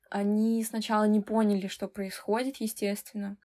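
At a moderate pace, a woman talks in a fairly high voice with a dark, mellow tone and monotone, flat intonation. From Russia, Severodvinsk (Arkhangelsk region). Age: 20s. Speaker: designer and photographer. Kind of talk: casual chat.

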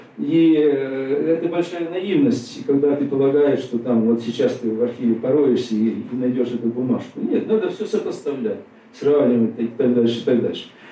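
Over noticeable background noise, a man talks at a moderate pace with lively intonation and a fairly high pitch. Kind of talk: lecture. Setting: stage with audience. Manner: conversational, many fillers.

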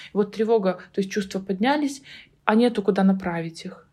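A woman with a somewhat breathy voice speaks at a medium pitch and a fairly quick pace with fairly even intonation, on a very clean recording with a silent background. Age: 30s. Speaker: psychotherapist. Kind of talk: casual chat.

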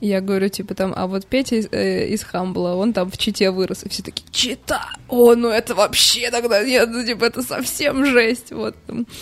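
Noticeable background noise runs under this recording. A woman speaks at a fairly high pitch with ordinary pitch variation. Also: moderate pace. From Moscow, Russia. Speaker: bar PR director. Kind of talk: casual chat.

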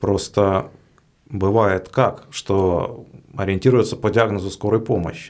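This man speaks at a very slow pace with a fairly low pitch and fairly even intonation. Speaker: podcast host. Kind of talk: interview.

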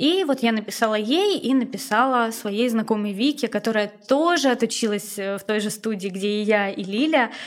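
Speaking at a moderate pace with hardly any pauses, a woman uses a fairly high pitch, ordinary pitch variation, and a normal speaking voice. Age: 20s. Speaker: former tattoo artist. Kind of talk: casual chat.

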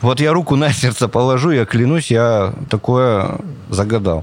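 Noticeable background noise sits under speech with lively intonation at a moderate pace. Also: man. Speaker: street photographer. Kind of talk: casual interview chat. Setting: planetarium dome. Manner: animated.

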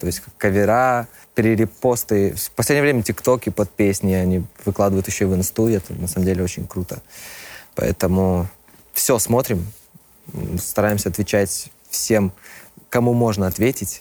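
A man speaks at a moderate pace in a fairly low voice. His pitch varies in an ordinary way, and he takes long, frequent pauses. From Belarus, Minsk. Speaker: rock band vocalist. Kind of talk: casual interview.

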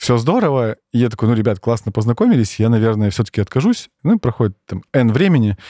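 Talking at a very fast pace with hardly any pauses, a man with a medium pitch, ordinary pitch variation and a dark, mellow tone is heard on a very clean recording with a silent background and a dry, close sound with no echo. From Siberia, Russia (Norilsk, Krasnoyarsk). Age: 30s. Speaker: operations director at a tech company. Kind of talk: casual interview chat. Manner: animated.

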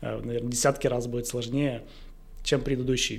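A man speaks at a medium pitch. His voice carries vocal fry. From Russia, Izhevsk. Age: 30s. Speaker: entrepreneur, company director. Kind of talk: casual interview.

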